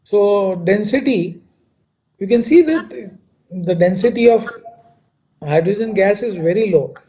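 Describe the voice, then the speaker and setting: A high-pitched man with a dark, mellow tone speaks at a fairly slow pace, with long, frequent pauses. His loudness swings widely, and the room echo is audible. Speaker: chemical engineer. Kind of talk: lecture. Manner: halting.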